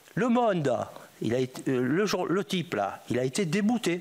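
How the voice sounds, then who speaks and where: Pitched high for a man, this male voice moves through very wide pitch swings. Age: 80s+. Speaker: former drug trafficker. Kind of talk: testimony. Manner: animated.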